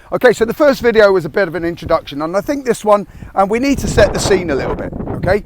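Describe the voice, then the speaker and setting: Over noticeable background noise, a man with a high pitch talks very fast with lively intonation. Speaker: military veteran turned online business coach. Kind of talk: motivational talk to camera. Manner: abrupt, aggressive.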